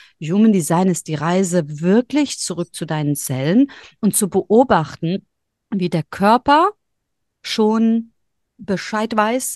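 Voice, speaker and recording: Heard in a dry, close sound with no echo, a woman speaks at a very slow pace and medium pitch with lively intonation. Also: quiet background. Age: 40s. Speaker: human design reader and yoga teacher. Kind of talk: casual interview chat.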